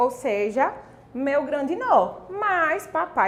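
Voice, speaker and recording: A woman is speaking. Her pitch swings very widely. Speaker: online course teacher. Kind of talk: online class.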